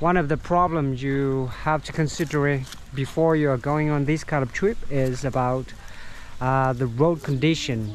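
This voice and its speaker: A man's fairly high voice at a fairly slow pace, with ordinary pitch variation and noticeable background noise. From Vietnam. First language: Vietnamese. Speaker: tour guide and travel vlogger. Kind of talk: travel vlog narration. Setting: outdoors, hiking. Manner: hesitant, many fillers.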